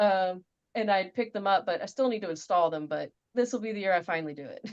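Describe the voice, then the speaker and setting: A woman with a Louisiana accent talks very fast in a medium pitch. Her pitch varies in an ordinary way while her loudness swings widely. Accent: US Southern (Louisiana). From Louisiana, about an hour north of Baton Rouge. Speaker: interview guest. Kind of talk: casual interview chat. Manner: hesitant, filler-heavy.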